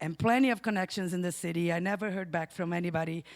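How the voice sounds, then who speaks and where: A woman speaks at a medium pitch in a Brazilian Portuguese accent. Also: very clean recording, silent background. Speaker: storyteller, bookstore owner. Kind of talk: live storytelling.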